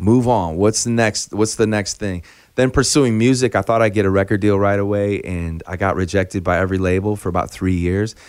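A man with an American accent uses an ordinary speaking voice, fairly low in pitch with fairly even intonation. He talks at a fairly quick pace with hardly any pauses, and the recording is very clean with a silent background. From US Midwest, Chicago. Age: 40s. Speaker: singer-songwriter. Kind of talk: casual interview chat.

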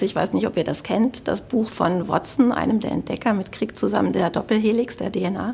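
A woman's medium-pitched voice with vocal fry, ordinary pitch variation, a moderate pace and a Cologne accent. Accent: German from Cologne, audible. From Germany, Cologne (Rhineland). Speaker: health tech sales executive. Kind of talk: interview. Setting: studio.

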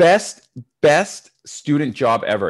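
A man with a Canadian accent, animated in tone and lively in intonation, against a quiet background. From Canada. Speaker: public speaking coach and entrepreneur. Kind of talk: podcast interview.

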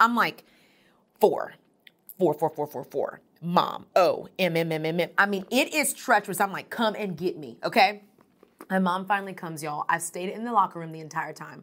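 A woman with a medium pitch speaks at a moderate pace in an energetic, animated tone, her intonation lively and her loudness swinging widely. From Texas, Houston. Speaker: motivational speaker, nonprofit founder. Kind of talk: conference talk. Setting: recorded event session.

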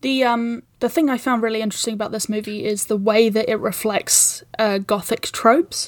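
With a New Zealand accent, a woman speaks at a moderate pace and a fairly high pitch, with hardly any pauses and fairly even intonation, on a very clean recording with a silent background. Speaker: podcast producer. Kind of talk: casual chat.

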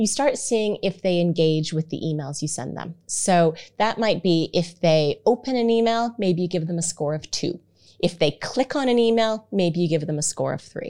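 Her tone is dark and mellow, with a fairly low pitch. The woman speaks with lively intonation. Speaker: marketing consultant. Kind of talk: interview. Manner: fast.

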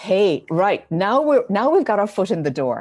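A woman with an Irish accent has a dark, mellow tone and pitch that swings very widely. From Ireland. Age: 50s. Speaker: spiritual teacher. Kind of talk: interview.

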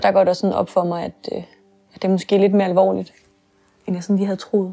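Her intonation monotone and flat, a woman speaks at a medium pitch and a fairly quick pace. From Denmark, near Kalundborg. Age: 20s. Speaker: theology student, daughter of parent with MS. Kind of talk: personal testimony interview. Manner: hesitant.

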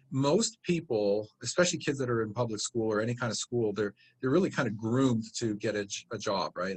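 The man has an unremarkable speaking voice at a medium pitch, with ordinary pitch variation. He moves at a moderate pace, and the sound is dry and close with no echo. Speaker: real estate investing company founder. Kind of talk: interview answer, conversational.

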